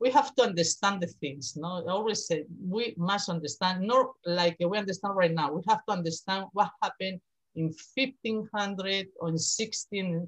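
With ordinary pitch variation, this somewhat breathy voice proceeds at a moderate pace. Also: woman, medium pitch for a woman. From Spain, Madrid. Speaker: university professor, art historian. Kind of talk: casual interview. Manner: halting, laughs often.

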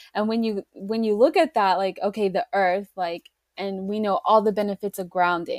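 A woman with a plain, everyday voice and an American accent speaks at a medium pitch and a moderate pace. Her pitch variation is ordinary, and the sound is dry and close with no echo. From Oklahoma. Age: 30s. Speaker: nutrition student. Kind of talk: casual interview.

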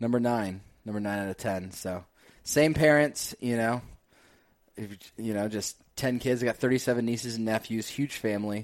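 In a very clean recording with a silent background, a man talks in a normal speaking voice at medium pitch, with fairly even intonation and a moderate pace. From northern New Jersey. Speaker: chiropractor turned digital marketer. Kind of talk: casual interview chat.

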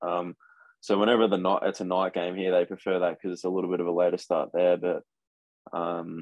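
A man talks with a very deep, low pitch. His pace is fairly quick. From Australia. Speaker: college football punter. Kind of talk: casual interview chat.

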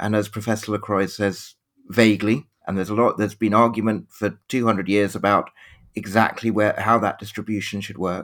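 In a British accent, a man speaks fairly quickly at a fairly low pitch with monotone, flat intonation. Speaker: history professor. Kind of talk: panel discussion. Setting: video call. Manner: halting with repetitions.

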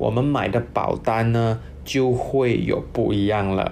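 A medium-pitched male voice is heard with audible room echo. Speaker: financial planner hosting an insurance segment. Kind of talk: casual educational talk.

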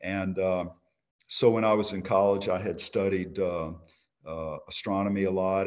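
A man's very deep, low pitch at a moderate pace, delivered in monotone, flat intonation. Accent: Louisiana. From Louisiana, Baton Rouge. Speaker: company CEO. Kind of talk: interview. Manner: halting, many fillers.

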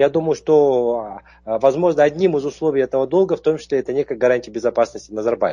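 A man talks at a fairly quick pace in a fairly high pitch with a dark, mellow tone and lively intonation. The sound is dry and close, with no echo. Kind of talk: interview. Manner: halting, with fillers.

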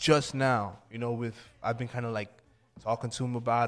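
A man with an American accent talks fairly quickly at a medium pitch. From Freeport, Long Island, New York. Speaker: hip hop artist. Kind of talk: casual interview.

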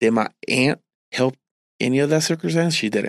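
With a Puerto Rican accent, a man talks at a very fast pace in a fairly high pitch, his intonation lively and the sound dry and close with no echo. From Puerto Rico. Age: 30s. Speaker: pastor sharing testimony. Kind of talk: testimony.

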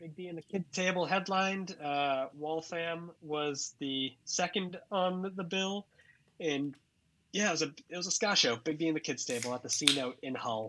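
The voice has a bright, sharp tone and a slight Massachusetts accent, at a moderate pace with ordinary pitch variation. The background is quiet. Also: man, high pitch for a man. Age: 30s. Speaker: comedian and website founder.

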